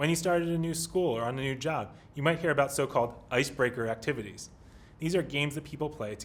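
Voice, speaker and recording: Somewhat breathy and very fast, a man talks in a Pennsylvania accent with ordinary pitch variation. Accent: American, Pennsylvania. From US, Pennsylvania. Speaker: English teacher. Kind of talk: lesson. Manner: formal.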